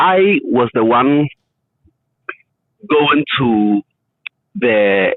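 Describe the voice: A man's voice with a slightly husky edge comes through dry and close, with no echo.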